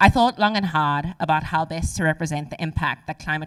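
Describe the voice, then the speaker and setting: A woman talks at a fairly quick pace in a very deep, low pitch. The recording is very clean, with a silent background. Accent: South African. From South Africa, Cape Town. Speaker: civil engineer, climate and water specialist. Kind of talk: conference speech. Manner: formal.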